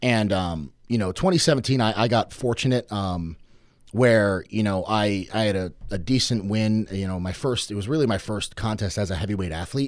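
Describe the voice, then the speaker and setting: A man with an American accent and an unremarkable speaking voice, fairly low in pitch, at a moderate pace in a very clean recording with a silent background. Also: ordinary pitch variation. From Norwich, Connecticut. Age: 20s. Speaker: strongman athlete. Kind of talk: casual chat. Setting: studio.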